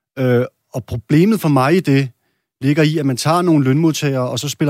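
This man's voice is fairly high, dark and mellow, with fairly even intonation at a moderate pace. The recording is very clean and dry, with a silent background and a close sound with no echo. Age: 30s. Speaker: parliamentary candidate, bricklayer. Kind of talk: political debate.

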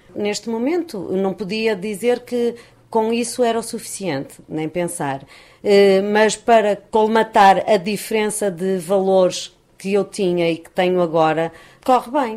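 A woman with an ordinary speaking voice talks at medium pitch and a fairly slow pace, with ordinary pitch variation and big swings in loudness. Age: 50s. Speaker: unemployed mother. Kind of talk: interview.

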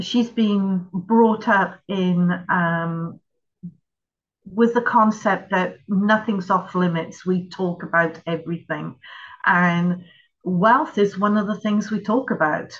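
Somewhat breathy, a woman at a medium pitch speaks at a very slow pace with fairly even intonation. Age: 60s. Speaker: investor and wealth coach. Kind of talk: interview.

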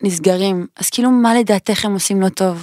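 This woman has a normal speaking voice at medium pitch and a moderate pace. The sound is dry and close, with no echo. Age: 20s. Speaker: podcast host. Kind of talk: casual chat. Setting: studio.

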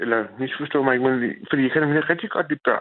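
At a medium pitch, a man speaks with a Copenhagen accent. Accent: Copenhagen Danish. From Copenhagen, Denmark. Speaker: caller. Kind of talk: phone-in call. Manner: halting.

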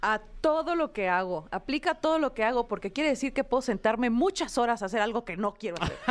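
A woman speaks at a very fast pace and a high pitch, her voice making very wide pitch swings with hardly any pauses. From Hermosillo, Sonora, northern Mexico. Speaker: comedian. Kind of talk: casual chat.

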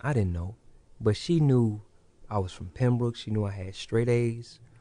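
A man with an unremarkable speaking voice talks at medium pitch and moderate pace, with ordinary pitch variation against a quiet background. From Illinois (Hopkins Park, near Kankakee). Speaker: barber and barber school owner. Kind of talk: casual interview.

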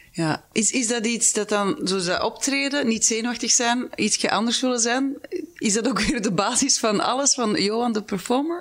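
Delivered at a moderate pace, this is a plain, everyday voice with ordinary pitch variation. Its loudness stays very even throughout. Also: woman, fairly high pitch for a woman. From Halle, Flemish Brabant, Belgium. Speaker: podcast host. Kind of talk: interview conversation.

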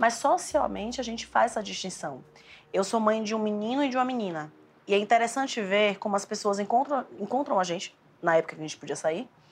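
A normal speaking voice moves at a fairly quick pace with lively intonation. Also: woman, fairly high pitch for a woman. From Bahia, Brazil. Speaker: emotional education specialist. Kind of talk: casual conversation. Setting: at the hosts' home.

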